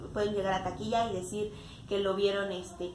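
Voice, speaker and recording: A woman with a medium pitch talks at a fairly quick pace. Light background noise and audible room echo are present. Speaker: actress and radio announcer. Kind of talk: interview answer. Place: home room.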